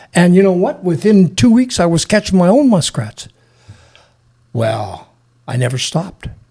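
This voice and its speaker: Speaking in a western Canadian accent, a man with a high voice talks at a moderate pace, his pitch swinging very widely, with long, frequent pauses. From British Columbia, Canada. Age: 70s. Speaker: wildlife trapper and search and rescue veteran. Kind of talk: casual interview storytelling. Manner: halting, repeats words.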